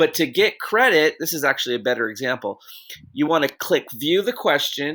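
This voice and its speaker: Recorded very cleanly against a silent background, a man with a bright, sharp tone speaks at a moderate pace and a high pitch, his pitch swinging very widely. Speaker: teacher. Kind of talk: tutorial.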